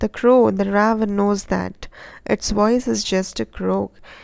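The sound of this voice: The voice reads in an unforced way.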